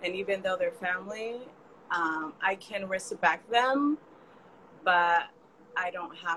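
Noticeable background noise sits behind a woman with an American accent and a fairly low pitch. She talks at a fairly slow pace with ordinary pitch variation. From California. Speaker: community builder and digital marketer. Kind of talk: casual chat.

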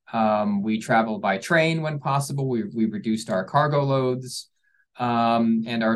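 A man in a Philadelphia accent, with ordinary pitch variation. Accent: Philadelphia-area American. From US Northeast, Philadelphia suburbs. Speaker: orchestra programming executive. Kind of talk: interview. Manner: halting, many fillers and repetitions.

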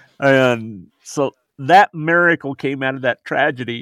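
An ordinary speaking voice from a man with an American accent, medium pitch and ordinary pitch variation, in a dry, close sound with no echo. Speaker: bereaved grandfather, suicide prevention advocate. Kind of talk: testimony.

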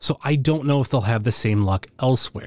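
A man speaks in a normal speaking voice at a medium pitch, with ordinary pitch variation. The recording is very clean, with a silent background. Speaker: listener. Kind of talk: listener question.

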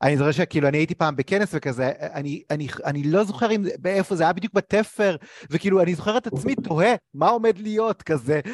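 A man's high-pitched voice, fairly quick and lively in intonation, with a dry, close sound and no echo. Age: 30s. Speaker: interviewer, career coach. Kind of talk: interview.

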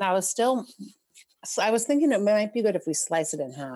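Here is a woman with a normal speaking voice. Her intonation is lively. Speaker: podcast guest.

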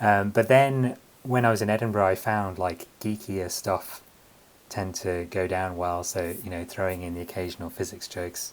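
The speaker has a London accent. The intonation is fairly even and the pace moderate. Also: man, very deep, low pitch for a man. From London, England. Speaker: comedian and writer. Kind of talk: interview.

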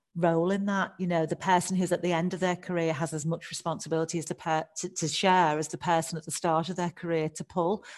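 The speaker has a Scouse accent and talks at a fairly quick pace in a monotone, flat intonation. The background is quiet. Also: woman. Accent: Liverpool (Scouse) accent, noticeable. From Liverpool, England. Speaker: HR director. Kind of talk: interview conversation.

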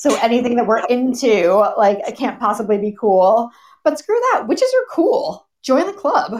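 Her pitch swings very widely, and her tone is animated. The woman speaks with a high voice at a fairly slow pace. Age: 40s. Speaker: podcast co-host. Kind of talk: casual chat.

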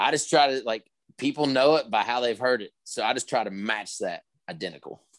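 A plain, everyday voice from a man with an American accent, medium pitch and ordinary pitch variation, dry, close and free of echo. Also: fairly quick pace. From West Virginia. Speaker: country singer-songwriter. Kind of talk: casual interview.

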